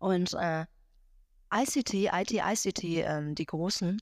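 Her pitch sits at a medium level, and this woman speaks with ordinary pitch variation. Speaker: board member, lecturer and consultant. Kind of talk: interview.

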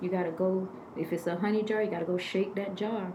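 A woman at a fairly quick pace amid noticeable background noise and audible room echo. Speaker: spiritual healer. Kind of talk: casual chat. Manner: shy.

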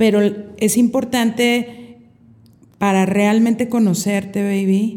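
A woman speaks in a dark, mellow tone, fairly high in pitch. Her pace is fairly slow and her intonation fairly even. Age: 50s. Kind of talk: casual chat.

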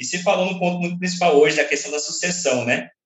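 A man speaks at a very fast pace. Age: young. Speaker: podcast co-host. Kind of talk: interview.

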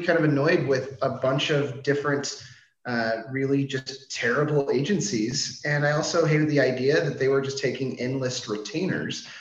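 A man with an American accent and a fairly high pitch talks at a moderate pace with hardly any pauses and ordinary pitch variation, over noticeable background noise and audible room echo. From US, Washington DC. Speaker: marketing agency CEO. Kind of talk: interview. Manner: casual, filler-heavy.

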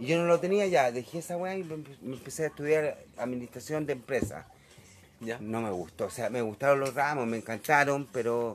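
Speaking with a Chilean accent, a man uses a fairly high pitch with ordinary pitch variation. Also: moderate pace. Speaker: interviewee recalling the 1980s. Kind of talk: casual interview. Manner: halting, repeats words.

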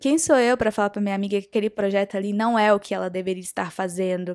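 A woman in a normal speaking voice at a fairly quick pace, with fairly even intonation, dry and close with no echo, on a very clean recording with a silent background. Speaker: podcast host on spirituality and self-knowledge. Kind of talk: casual monologue. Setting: podcast recording.

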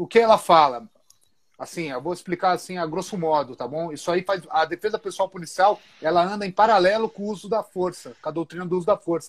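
A man talks in a high voice. The sound is dry and close, with no echo. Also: ordinary pitch variation, fairly quick pace. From interior of São Paulo state, Brazil. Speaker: police officer and jiu-jitsu instructor. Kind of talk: casual interview on a live stream.

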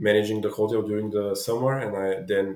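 His voice is fairly low for a man. The pace is moderate. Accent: Bulgarian. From Bulgaria, Dobrich. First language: Bulgarian. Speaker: entrepreneur. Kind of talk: interview. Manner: halting.

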